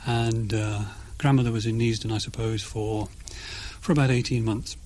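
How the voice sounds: Delivered at a moderate pace, the speech has a slightly mellow tone and fairly even intonation. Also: man, fairly low pitch for a man.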